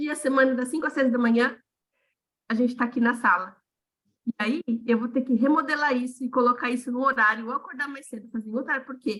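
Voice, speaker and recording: A woman talks at a very fast pace in a high pitch. Her speech is broken by long, frequent pauses. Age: 40s. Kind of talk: casual chat. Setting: video call. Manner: animated.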